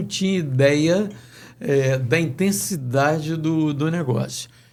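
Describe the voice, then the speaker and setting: Pitched fairly high, a man's voice rises and falls in a normal way. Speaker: sports radio announcer. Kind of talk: interview answer.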